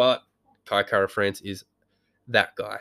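An Australian accent comes through with fairly even intonation, the sound dry and close with no echo in a very clean recording with a silent background. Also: man. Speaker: podcast host. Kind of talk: casual monologue. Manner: rambling with many ums.

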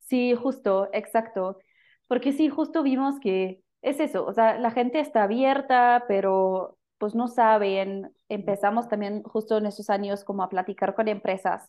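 Here a woman talks fairly slowly with a German accent. Her voice is fairly high. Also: ordinary pitch variation. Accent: German speaker with Mexican-flavored Spanish. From Germany. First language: German (speaking Spanish). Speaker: social entrepreneur, company founder. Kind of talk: casual interview chat.

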